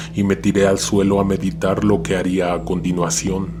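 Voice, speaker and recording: Lively in intonation, a man with a very deep, low pitch speaks at a fairly slow pace over noticeable background noise. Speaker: horror story narrator. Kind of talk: horror story narration.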